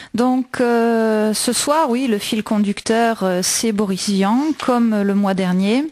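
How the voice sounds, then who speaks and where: A woman talks at a very slow pace with ordinary pitch variation and very even loudness. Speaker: radio host. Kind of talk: radio show presentation on literature and music.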